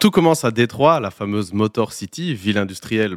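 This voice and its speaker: A fairly low-pitched man speaks at a moderate pace with lively intonation. The recording is very clean and silent in the background, dry and close with no echo. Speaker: podcast co-host. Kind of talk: scripted narration; casual chat.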